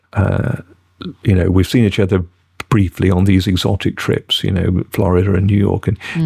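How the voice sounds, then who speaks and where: A man speaks with a British accent and a dark, mellow tone. His voice is somewhat breathy. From Britain. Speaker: actor. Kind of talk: podcast interview answer.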